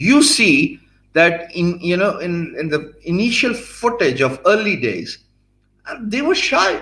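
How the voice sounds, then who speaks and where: In a Pakistani accent, a man talks at a fairly slow pace with a high pitch, a bright, sharp tone and very wide pitch swings. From Pakistan, Punjab. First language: Punjabi or Urdu. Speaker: blogger and youtuber teaching business skills. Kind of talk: live-streamed lecture. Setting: live stream. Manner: hesitant, many fillers.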